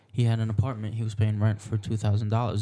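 A man speaks at a fairly low pitch with a dark, mellow tone and a somewhat breathy quality. The recording is very clean, with a silent background. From Egypt. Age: 20s. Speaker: podcast co-host. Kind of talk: casual chat.

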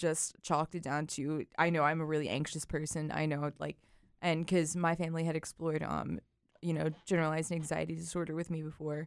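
A woman's unremarkable speaking voice, fairly low in pitch, at a fairly quick pace on a very clean recording with a silent background. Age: 20s. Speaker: English student. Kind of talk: casual chat.

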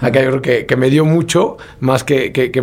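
A man at a moderate pace, with noticeable noise in the background. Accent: Mexican. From Mexico, Puebla. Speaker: marathon runner and running entrepreneur. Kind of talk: casual interview chat.

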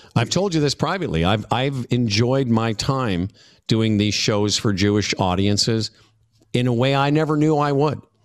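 An unremarkable speaking voice at very even loudness, in a very clean recording with a silent background. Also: man, medium pitch for a man, lively intonation, moderate pace. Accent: Canadian. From Saskatchewan, Canada (Moose Jaw). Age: 60s. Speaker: radio host and comedian. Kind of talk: interview.

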